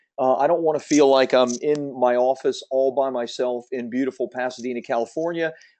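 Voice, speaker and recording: Speaking at a fairly quick pace, a man uses hardly any pauses. His tone is dark and mellow at a medium pitch, with a quiet background. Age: 50s. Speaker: book publishing coach. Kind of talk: webinar sales presentation. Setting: webinar from his office. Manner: fast; energetic.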